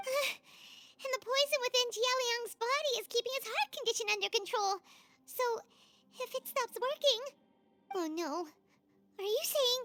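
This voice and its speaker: An extremely high, squeaky cartoonish character voice at a moderate pace, with long, frequent pauses and music in the background. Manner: energetic, casual.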